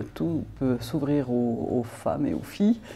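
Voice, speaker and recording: A woman's dark, mellow tone at a very slow pace, with audible room echo. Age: 60s. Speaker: politician. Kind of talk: interview.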